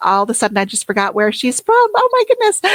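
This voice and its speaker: A woman with an American accent in a dry, close sound with no echo. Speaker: educational technology consultant, former tech coach. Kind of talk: podcast interview.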